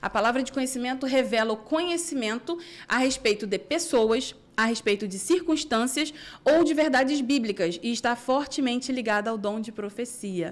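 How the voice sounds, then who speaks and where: Pitched high, a woman speaks at a moderate pace in an animated tone with lively intonation. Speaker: Bible teacher. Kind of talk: Bible study.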